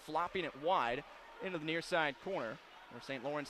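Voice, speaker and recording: A man's fairly high voice, an ordinary speaking voice, with ordinary pitch variation at a fairly quick pace. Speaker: radio play-by-play announcer. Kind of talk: fast live hockey play-by-play. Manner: quick, rapid-fire.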